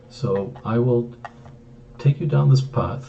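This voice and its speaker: In a room with audible echo and noticeable background noise, a man talks at a very slow pace, his medium pitch showing ordinary variation. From Greece. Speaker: author. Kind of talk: book introduction talk. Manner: hesitant, frequent fillers.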